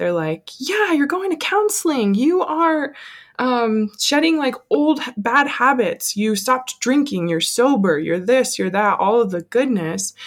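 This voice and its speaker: A woman speaks with an American accent at a fairly slow pace. Her pitch swings very widely. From Colorado. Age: 20s. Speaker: small business owner. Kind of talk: casual chat.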